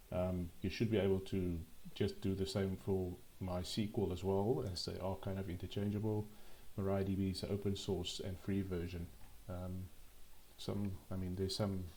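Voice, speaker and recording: Somewhat breathy and dark, mellow in tone, a man's fairly low voice moves at a moderate pace broken by long, frequent pauses. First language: not English. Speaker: programming tutorial youtuber. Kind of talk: tutorial. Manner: halting, frequent ums and repetitions.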